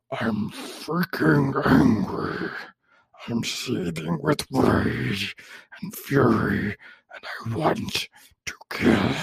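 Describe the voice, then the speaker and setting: Using a raspy, put-on character voice with a fairly low pitch, a man speaks at a very slow pace with long, frequent pauses. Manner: angry, seething with rage.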